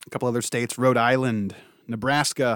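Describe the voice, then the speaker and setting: In a very clean recording with a silent background, a man with an American accent speaks at a medium pitch in a monotone, flat intonation. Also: dry, close sound with no echo. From Ohio. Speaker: podcast host, trade magazine editor. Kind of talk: podcast interview and news roundup.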